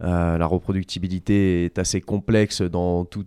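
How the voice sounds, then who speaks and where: A man speaks at a very deep, low pitch in a monotone, flat intonation with a dark, mellow tone. The sound is dry and close with no echo, on a very clean recording with a silent background. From Vendée, western France. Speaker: rehabilitation sports coach. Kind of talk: casual interview. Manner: halting.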